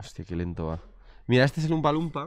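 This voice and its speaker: An animated male voice with very wide pitch swings. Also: quiet background. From Spain. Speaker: streaming interview host. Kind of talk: casual chat on a live stream. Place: shop. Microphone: studio mic.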